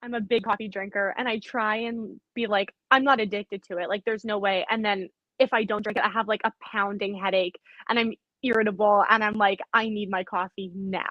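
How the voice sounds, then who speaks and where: A woman speaks at a fairly quick pace with a flat, monotone delivery and a slight Canadian accent. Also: medium pitch for a woman. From Canada, Winnipeg, Manitoba. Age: 20s. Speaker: CrossFit athlete. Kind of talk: casual interview chat.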